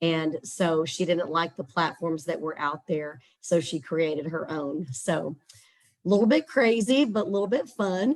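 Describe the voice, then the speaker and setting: A woman with a Texas accent speaks at a fairly slow pace, her fairly low voice carrying lively intonation. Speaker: scholarship platform representative. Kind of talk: webinar presentation.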